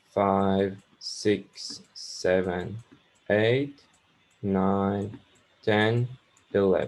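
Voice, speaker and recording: A man's fairly low voice at a very slow pace, with fairly even intonation and long, frequent pauses. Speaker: university lecturer. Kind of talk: lecture. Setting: online lecture with screen sharing. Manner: halting, many fillers.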